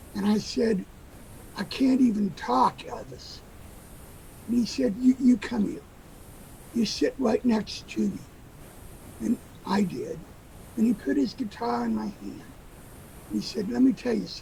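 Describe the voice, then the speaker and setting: Delivered at a moderate pace, the speech has long, frequent pauses and noticeable background noise. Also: man. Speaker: guitar repairer and former special ed teacher. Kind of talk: storytelling at an open mic. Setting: virtual open mic video call.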